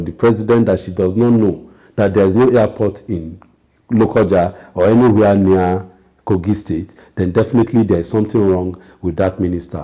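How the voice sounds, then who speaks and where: At a moderate pace, a man speaks in a fairly low voice with a dark, mellow tone and ordinary pitch variation. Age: 60s. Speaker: political commentator. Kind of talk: political talk show discussion. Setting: TV studio.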